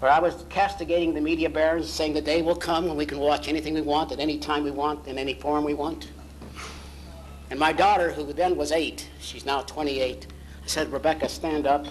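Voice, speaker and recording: Fairly quick male speech with audible room echo and noticeable background noise. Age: 60s. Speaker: founder of a professional society giving a banquet speech. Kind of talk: banquet speech. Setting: banquet hall with audience. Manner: animated.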